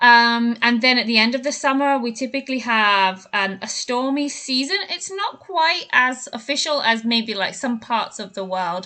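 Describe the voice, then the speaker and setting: A woman in a British accent, high-pitched, with lively intonation, at a moderate pace. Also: hardly any pauses. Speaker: English teacher. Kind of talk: podcast talk to learners.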